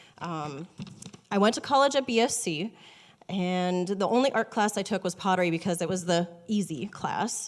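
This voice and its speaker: A woman at medium pitch speaks at a moderate pace with lively intonation. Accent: Upper Midwest. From North Dakota, small town. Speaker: watercolor artist. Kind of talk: personal introduction talk. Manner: shaky; hesitant, many ums.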